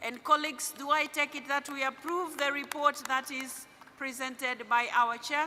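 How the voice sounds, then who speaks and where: In a raised, projected voice, a woman with a high pitch speaks at a moderate pace with monotone, flat intonation amid noticeable background noise. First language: not English. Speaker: parliamentary assembly president chairing a meeting. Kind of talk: formal meeting chairing. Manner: halting, with fillers.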